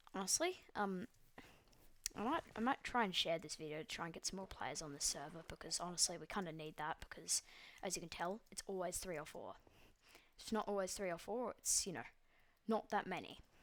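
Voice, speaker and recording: A woman with an Australian accent talks at a fairly quick pace with ordinary pitch variation. Her pauses are long and frequent. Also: medium pitch for a woman. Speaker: gaming YouTuber. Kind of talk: gameplay commentary. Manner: hesitant, many fillers.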